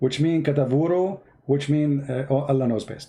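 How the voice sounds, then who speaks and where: A somewhat breathy man's voice, fairly high in pitch with a dark, mellow tone, at a moderate pace. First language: Arabic. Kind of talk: live stream commentary. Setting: live stream. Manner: halting.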